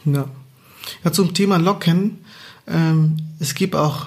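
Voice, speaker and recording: Intonation is fairly even throughout. There is a somewhat breathy quality to the voice. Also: man. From Angola. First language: Portuguese (speaking German). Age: 30s. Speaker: podcast co-host. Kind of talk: casual chat.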